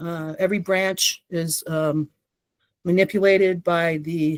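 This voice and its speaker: A woman speaks with an American accent at a fairly low pitch. The sound is dry and close, with no echo. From Texas, El Paso. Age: 60s. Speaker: whistleblower and litigant. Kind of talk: interview testimony. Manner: hesitant, many fillers.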